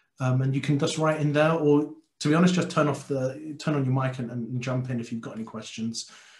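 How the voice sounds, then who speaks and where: A man with a London accent at a medium pitch, fairly quick and fairly even in intonation, with audible room echo. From London, Tottenham. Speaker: software consultant and conference speaker. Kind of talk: technical talk to a user group. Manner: many filler words and repetitions.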